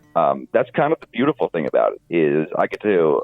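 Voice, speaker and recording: Background music plays while a man talks at a medium tempo. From Arizona, US. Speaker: country musician. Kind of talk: interview. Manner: hesitant, many fillers.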